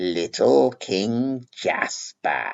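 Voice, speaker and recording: Using a put-on character voice, a man speaks at a medium pitch. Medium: read story. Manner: sneering.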